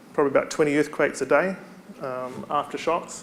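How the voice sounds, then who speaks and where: Audible room echo surrounds a man with a New Zealand accent. His fairly high voice keeps a fairly even intonation. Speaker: university staff member, conference speaker. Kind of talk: conference presentation. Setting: stage with audience.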